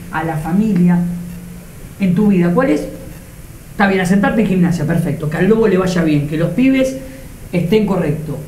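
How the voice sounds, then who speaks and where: Speaking with a Rioplatense accent and ordinary pitch variation, the voice carries audible room echo over light background noise. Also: man. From Argentina. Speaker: TV show host; interviewer, show host. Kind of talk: casual interview. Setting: football stadium. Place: home room. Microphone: lapel.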